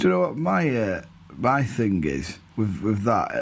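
Audible room echo follows a man whose speech swings very widely in pitch at a moderate pace. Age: 30s. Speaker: football podcast co-host. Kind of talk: casual chat.

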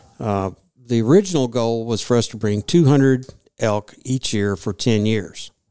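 A man speaks in a Kentucky accent at a medium pitch. His pace is moderate and his pitch variation is ordinary. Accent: Southern US (Kentucky). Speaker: retired state wildlife commissioner. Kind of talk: casual interview. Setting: studio conference room.

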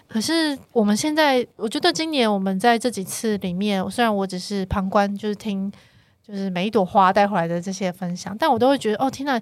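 A woman talks at a fairly quick pace with lively intonation, her medium-pitched voice an ordinary speaking voice. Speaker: chief editor and show planner. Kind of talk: casual chat. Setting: studio.

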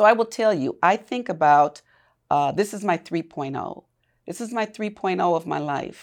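In a very clean recording with a silent background, a woman with a normal speaking voice talks at a moderate pace, her medium pitch moving with lively intonation. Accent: American. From US Midwest, Milwaukee. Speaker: community leader and former university administrator. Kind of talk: interview conversation.

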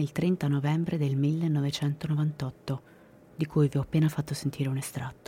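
A woman's somewhat breathy voice, dark and mellow in tone and solemn. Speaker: true crime podcast narrator. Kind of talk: dramatic true-crime narration. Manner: grave, suspenseful, measured storytelling; solemn, matter-of-fact tone on violent details.

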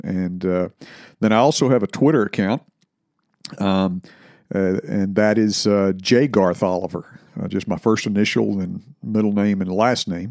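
A man at a moderate pace with ordinary pitch variation and long, frequent pauses. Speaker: religious podcast host. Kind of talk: casual announcement. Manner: halting, many fillers.

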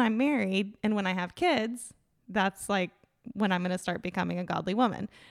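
At a fairly quick pace, an unremarkable speaking voice shows ordinary pitch variation, with a dry, close sound with no echo on a very clean recording with a silent background. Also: woman. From Tallahassee, Florida. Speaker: schoolteacher. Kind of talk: casual chat.

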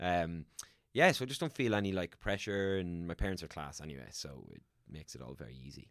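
Over a silent background in a very clean recording, a man with an Irish accent talks at a very fast pace in a very deep, low voice, with very wide pitch swings and big swings in loudness. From Ireland. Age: 30s. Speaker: actor and voiceover artist. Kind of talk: casual chat.

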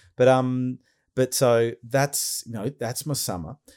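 On a very clean recording with a silent background, a man with an Australian accent sounds dry and close, with no echo. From Australia, Melbourne. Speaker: podcast host. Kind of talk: casual chat.

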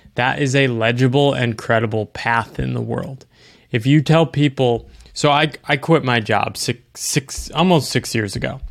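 An unremarkable speaking voice from a man with an American accent, medium pitch, moderate pace, and ordinary pitch variation, in a very clean recording with a silent background. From US East Coast. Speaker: author. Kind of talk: casual interview conversation.

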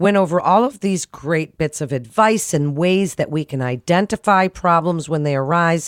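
Her pitch fairly low, a woman speaks with very wide pitch swings. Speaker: podcast host. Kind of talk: interview.

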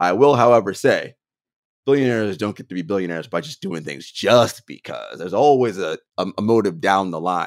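In a normal speaking voice at medium pitch, a man talks at a fairly quick pace with lively intonation, and the sound is dry and close with no echo. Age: 40s. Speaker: basketball podcast host. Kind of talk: casual chat.

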